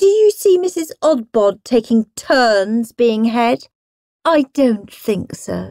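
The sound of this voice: Unforced reading voice with lively intonation, quiet background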